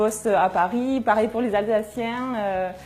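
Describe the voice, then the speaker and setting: A woman with a strong southern French accent, fairly high in pitch, with fairly even intonation. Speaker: journalist. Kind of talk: interview testimony. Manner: hesitant, many fillers.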